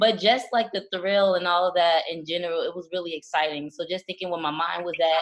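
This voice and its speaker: A woman with a plain, everyday voice talks at a fairly quick pace, fairly low in pitch and with fairly even intonation. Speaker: podcast co-host. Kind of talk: casual chat.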